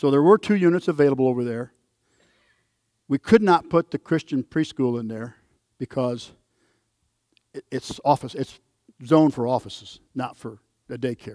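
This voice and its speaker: Speaking with long, frequent pauses, a man with a medium pitch and ordinary pitch variation has a dark, mellow tone in a dry, close sound with no echo. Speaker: church committee member presenting report. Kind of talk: presentation at church forum. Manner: fast.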